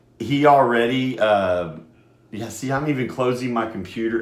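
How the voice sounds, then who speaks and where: A man at a moderate pace, with audible room echo. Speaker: radio host. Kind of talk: casual talk radio monologue. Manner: loud; halting, many fillers.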